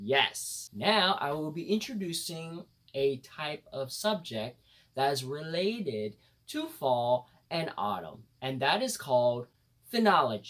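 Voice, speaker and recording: At a fairly slow pace, a man talks in an upbeat tone with a fairly high pitch and very wide pitch swings. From United States. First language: bilingual English and Khmer. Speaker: vlogger. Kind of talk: casual talk to camera.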